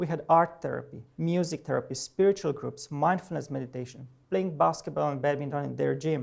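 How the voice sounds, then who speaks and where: A man with a Romanian accent talks at a fairly quick pace. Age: 40s. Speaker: professor. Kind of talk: personal talk to an audience. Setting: presentation with audience. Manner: halting.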